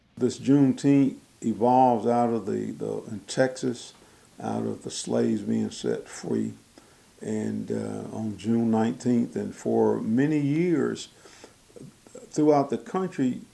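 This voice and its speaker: Someone with a Southern US accent speaks at a very slow pace. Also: man. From Mississippi. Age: 70s. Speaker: county supervisor. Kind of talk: news interview. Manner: halting.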